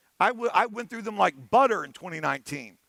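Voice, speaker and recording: A man with an American accent speaks at a very fast pace in a raised, projected voice, his tone bright, sharp and animated and his intonation lively. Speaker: conference keynote speaker, penetration tester. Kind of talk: conference talk. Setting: stage with audience.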